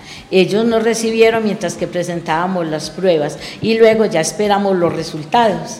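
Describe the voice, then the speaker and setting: Noticeable background noise and audible room echo fill the recording. Through them, a woman is talking. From Antioquia, Colombia (Heliconia). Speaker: schoolteacher. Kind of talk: radio interview.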